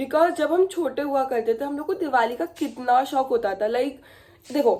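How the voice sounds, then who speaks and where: A woman speaks at a moderate pace with a high pitch. Her tone is dark and mellow. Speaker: vlogger. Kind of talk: casual vlog chat. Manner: code-switching Hindi and English; loud.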